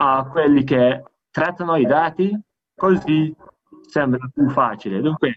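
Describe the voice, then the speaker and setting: A man speaks at a fairly high pitch. His pace is very slow. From Malta. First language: Maltese or English (speaking Italian). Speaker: EU data protection official. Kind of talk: conference presentation. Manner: halting, many self-corrections.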